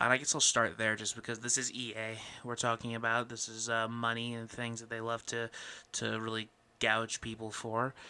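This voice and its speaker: Speaking quietly at a moderate pace, a man delivers flat, monotone intonation in a bright, sharp tone. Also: medium pitch for a man. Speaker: podcast host. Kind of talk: casual chat. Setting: home recording late at night. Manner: quiet, keeping voice down late at night.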